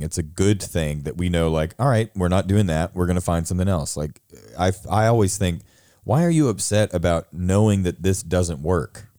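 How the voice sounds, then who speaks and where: Dark, mellow tone at a moderate pace, with ordinary pitch variation, on a very clean recording with a silent background. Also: man. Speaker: theater teacher. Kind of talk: casual chat. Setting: studio.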